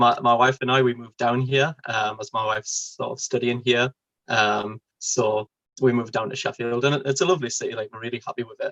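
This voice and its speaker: In a Geordie accent, a man speaks at a medium pitch and a moderate pace with fairly even intonation. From northern England, Newcastle. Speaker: convert to Islam. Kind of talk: interview. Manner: hesitant, many fillers.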